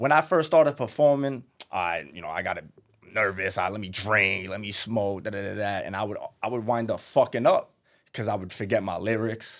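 A man with a New York accent at a moderate pace, on a very clean recording with a silent background. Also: lively intonation, big swings in loudness. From Brooklyn, New York. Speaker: rapper. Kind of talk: casual interview. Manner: high-energy.

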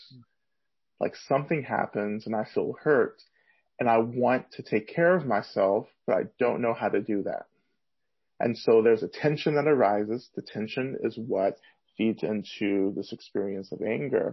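A plain, everyday voice with an American accent. It moves at a moderate pace with ordinary pitch variation. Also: man, medium pitch for a man. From US South. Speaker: Buddhist teacher and activist. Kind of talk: interview.

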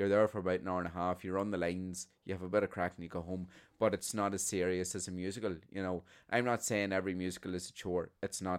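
A man with a Northern Irish accent talks very fast in a very deep, low voice with monotone, flat intonation. The recording is very clean, with a silent background. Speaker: podcast co-host, theatre performer. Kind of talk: casual chat.

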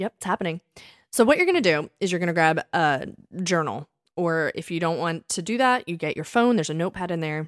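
This woman talks very fast with an American accent, her fairly low pitch showing ordinary variation. The very clean recording sounds dry and close, with a silent background and no echo. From Delaware County, Pennsylvania. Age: 30s. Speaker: podcast co-host, fitness instructor. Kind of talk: casual chat.

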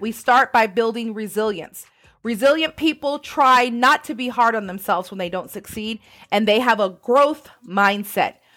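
A woman with a plain, everyday voice talks at a moderate pace and fairly high pitch with ordinary pitch variation. The recording is very clean with a silent background. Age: 40s. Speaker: podcast host. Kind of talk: motivational monologue.

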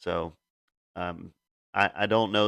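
A man's voice comes through with a bright, sharp tone. The background is silent and the recording very clean. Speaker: MMA betting picks youtuber. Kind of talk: solo video commentary, fight predictions. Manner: casual with many filler words.

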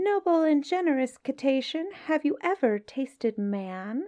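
Put-on character voice from a woman, high-pitched, over a quiet background. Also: moderate pace. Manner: flattering, cunning.

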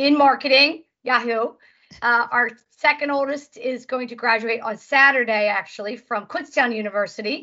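Her voice high in pitch, a woman speaks at a moderate pace with ordinary pitch variation. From US Northeast, Philadelphia suburbs (Montgomery County). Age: 50s. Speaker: financial educator. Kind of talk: interview.

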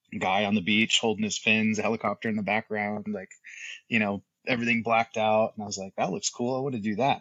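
Over a quiet background, a man with an American accent speaks very fast in a monotone, flat way, the sound dry and close with no echo. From US, south Florida. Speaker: special operations veteran and business owner. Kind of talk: interview.

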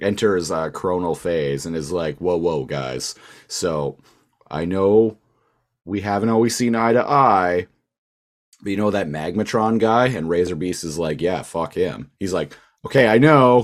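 This speaker has a Canadian accent and lively intonation at a fairly slow pace. The recording is very clean with a silent background. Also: man, very deep, low pitch for a man. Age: 30s. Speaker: podcast co-host. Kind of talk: casual chat.

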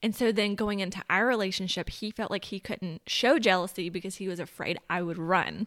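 An unremarkable speaking voice from a woman, medium in pitch with fairly even intonation and a fairly quick pace, in a very clean, dry, close recording with no echo and a silent background. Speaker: guest. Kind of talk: casual chat.

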